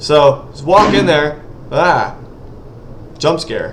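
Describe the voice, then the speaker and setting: An animated man with a fairly high pitch and ordinary pitch variation, amid audible room echo and noticeable background noise. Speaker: indie game developer and gaming youtuber. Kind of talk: gameplay commentary. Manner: fast.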